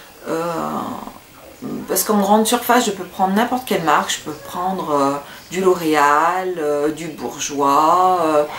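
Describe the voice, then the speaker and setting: A medium-pitched woman talks at a fairly slow pace with very wide pitch swings amid noticeable background noise. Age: 30s. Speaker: beauty vlogger. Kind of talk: casual vlog Q&A. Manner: hesitant, many fillers.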